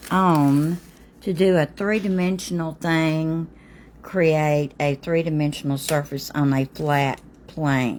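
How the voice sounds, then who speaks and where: A woman speaks very slowly at a very deep, low pitch. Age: 60s. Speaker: pastel artist. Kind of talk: live-stream art tutorial. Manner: halting, many fillers.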